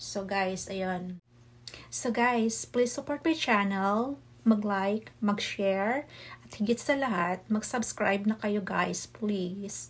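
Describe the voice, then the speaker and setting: Speaking very slowly, a woman with a medium-pitched, somewhat breathy voice uses ordinary pitch variation. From Bohol, Philippines (Visayas); Philippines. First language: Cebuano (Bisaya) (speaking Tagalog). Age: 40s. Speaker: cooking vlogger. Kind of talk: vlog introduction to camera. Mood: warm, slightly shy. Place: home room. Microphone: phone near.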